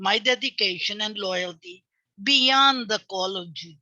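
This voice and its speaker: A woman with a bright, sharp tone speaks at a fairly slow pace. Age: 80s+. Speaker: retired government official. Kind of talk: webinar speech. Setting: webinar.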